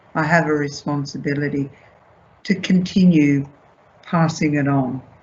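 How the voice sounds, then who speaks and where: Somewhat breathy, a woman with a very deep, low pitch speaks in an Australian accent with fairly even intonation. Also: moderate pace. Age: 70s. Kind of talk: panel discussion.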